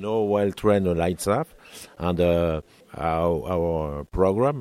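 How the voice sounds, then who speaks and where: Pitched very deep and low, a man speaks with a French accent and ordinary pitch variation. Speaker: cooking school manager. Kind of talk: interview. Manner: halting.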